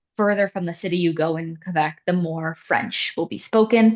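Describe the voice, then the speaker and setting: A woman speaks at a medium pitch with ordinary pitch variation in a Canadian accent. It is a plain, everyday voice. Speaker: international student services staff. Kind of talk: information session presentation.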